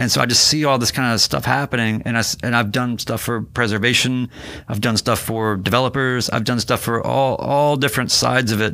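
Using a plain, everyday voice, an American-accented man talks at medium pitch and a fairly quick pace with hardly any pauses. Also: fairly even intonation. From US South, North Carolina (Winston-Salem). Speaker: marketer and artist. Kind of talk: casual chat. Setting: studio.

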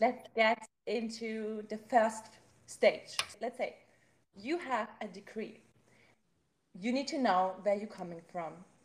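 A somewhat breathy woman's voice, fairly high in pitch with ordinary pitch variation, at a very slow pace with long, frequent pauses and big swings in loudness. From Germany. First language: German. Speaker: podcast host. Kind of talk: casual interview.

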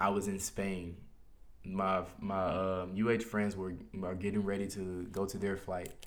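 An American-accented man with a fairly low pitch speaks in a flat monotone at a fairly slow pace, with audible room echo. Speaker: podcast host. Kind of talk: personal monologue podcast. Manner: casual, hesitant with fillers.

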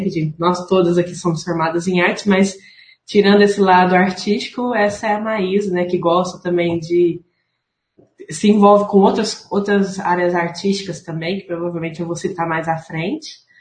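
Somewhat breathy and at medium pitch, a woman speaks at a moderate pace with fairly even intonation. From São Paulo state, Franca. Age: 30s. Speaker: visual artist and art teacher. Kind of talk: casual chat.

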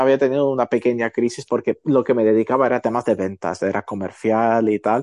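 Over a quiet background, a man talks at a fairly quick pace in a dry, close sound with no echo. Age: 30s. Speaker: photographer and entrepreneur. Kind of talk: casual interview chat.

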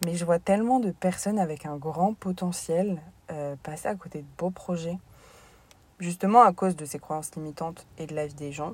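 A woman's voice, somewhat breathy and fairly low in pitch, moves with ordinary pitch variation. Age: 20s. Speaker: sports coach and podcaster. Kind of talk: casual monologue.

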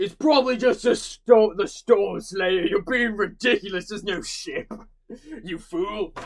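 Using a put-on character voice at a high pitch, a man speaks at a moderate pace. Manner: brash, loud, mocking then urgent.

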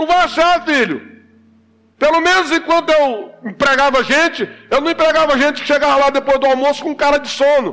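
Extremely high-pitched, a man talks in an animated, bright and sharp tone at a moderate pace. His pitch varies in an ordinary way. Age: 50s. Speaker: pastor. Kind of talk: sermon.

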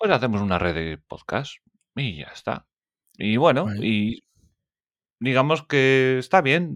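On a very clean recording with a silent background, a man of medium pitch talks fairly slowly, with very wide pitch swings and long, frequent pauses. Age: 30s. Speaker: podcast host. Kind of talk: casual interview chat.

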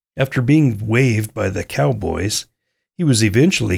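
A man with an American accent speaks at a moderate pace and medium pitch, his voice somewhat breathy with lively intonation. The recording is very clean, the background silent. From US West, central Idaho. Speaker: podcast host. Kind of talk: scripted narration.

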